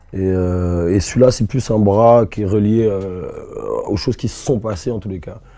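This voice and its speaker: Fairly low-pitched man at a fairly slow pace, fairly even intonation, noticeable background noise. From Rennes, Brittany, France. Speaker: rapper. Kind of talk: interview answer. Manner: casual, warm.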